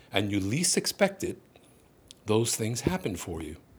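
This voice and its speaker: A man's somewhat breathy voice at a medium pitch moves through very wide pitch swings. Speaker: comedic podcast host. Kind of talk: motivational talk; humorous solo monologue. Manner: hesitant, many fillers.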